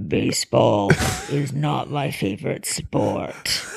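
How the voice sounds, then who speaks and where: A raspy put-on character voice from a man, medium in pitch and fairly slow in pace. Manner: menacing, slow.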